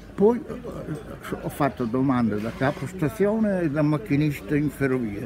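A man with a fairly high voice speaks at a moderate pace with very wide pitch swings, over noticeable background noise. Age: 80s+. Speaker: retired train driver. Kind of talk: interview answer. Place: market. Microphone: phone near.

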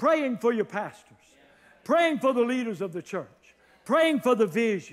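A man's extremely high voice with big pitch swings, at a fairly slow pace

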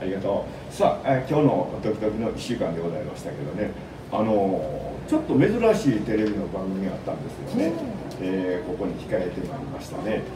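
A man with a Kansai accent, fairly low in pitch, lively in intonation and fairly quick, over noticeable background noise. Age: 80s+. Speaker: radio host. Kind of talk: community radio talk show. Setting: radio studio. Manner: fast, chatty. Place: studio.

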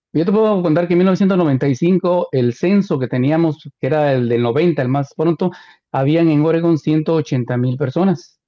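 A man with an unremarkable speaking voice talks at a fairly slow pace and fairly high pitch, with ordinary pitch variation. His loudness stays very even over a quiet background. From Guatemala. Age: 60s. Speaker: radio host; radio host, interview guest. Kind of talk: casual interview. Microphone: video call.

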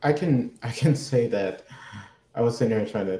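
A man's tone is dark, mellow and somewhat breathy. Audible room echo surrounds his voice. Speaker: college marketing director; panelist. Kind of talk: panel discussion. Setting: video call. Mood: earnest, thoughtful. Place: office. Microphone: video call.

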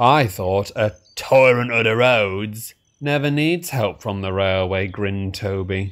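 Against a quiet background, the speaker is reading aloud in a natural voice.

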